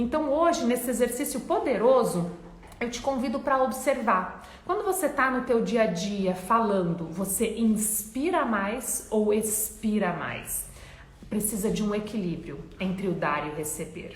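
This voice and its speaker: The pace is fairly slow, with audible room echo and noticeable background noise. A woman speaks in a fairly high pitch with lively intonation. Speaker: self-help coach. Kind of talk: motivational talk. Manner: animated.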